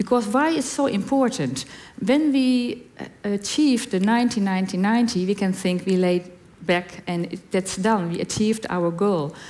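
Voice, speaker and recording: Speaking with a Dutch accent, a woman has a medium pitch and lively intonation. Her pace is moderate. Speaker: HIV community representative on panel. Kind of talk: reading prepared answer aloud.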